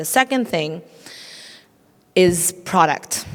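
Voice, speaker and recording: Through noticeable background noise, a woman with a non-native accent and a fairly low pitch speaks at a fairly slow pace. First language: not English. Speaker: tech entrepreneur, panelist. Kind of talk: panel discussion.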